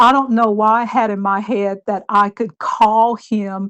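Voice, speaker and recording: A woman's fairly high voice, with fairly even intonation, moves at a very slow pace. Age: 60s. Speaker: romance scam victim sharing her experience. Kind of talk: interview testimony.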